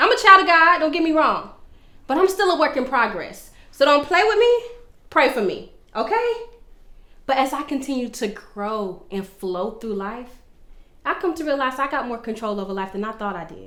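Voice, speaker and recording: Projecting her raised voice with a bright, sharp, animated tone, a woman with a high pitch talks at a moderate pace, her pitch swinging very widely and her loudness varying a lot around long, frequent pauses. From Florida, Orlando. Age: 20s. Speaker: vlogger. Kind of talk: personal testimony monologue.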